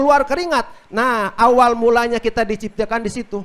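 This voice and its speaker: A man talks with a Sundanese accent in a bright, sharp tone. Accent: Sundanese-accented Indonesian. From West Java (Sundanese). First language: Sundanese (speaking Indonesian). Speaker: Islamic preacher. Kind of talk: religious talk on a radio outdoor broadcast. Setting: mosque gathering with audience, radio broadcast.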